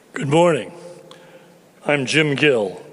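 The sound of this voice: A man puts on a raspy character voice pitched fairly high. An echo is audible.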